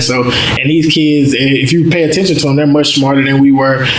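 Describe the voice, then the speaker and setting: A man with an American accent speaks at a fairly quick pace and a fairly high pitch, his intonation monotone and flat, over noticeable background noise. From North Louisiana, Mansfield. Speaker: nonprofit founder. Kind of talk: interview.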